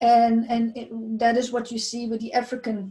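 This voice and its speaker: Somewhat breathy and fairly high in pitch, a woman speaks with a dark, mellow tone. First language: not English. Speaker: abuse survivor sharing testimony. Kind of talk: testimony. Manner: halting, many fillers and repetitions.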